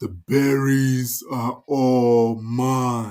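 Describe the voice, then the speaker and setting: Putting on a character voice, the man keeps his pitch in the medium range. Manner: possessive, domineering.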